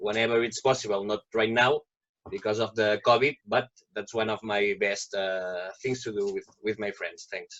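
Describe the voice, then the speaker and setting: The speaker has a Catalan accent and keeps a moderate pace. The intonation stays fairly even. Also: man, medium pitch for a man. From Catalonia, Spain. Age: 30s. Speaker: project participant. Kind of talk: self-introduction.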